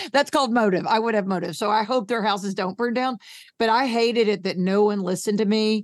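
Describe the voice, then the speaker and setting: Very fast and animated, a woman with an American accent speaks in a fairly high voice on a very clean recording with a silent background. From New York. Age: 60s. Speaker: thyroid patient advocate. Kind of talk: casual interview chat.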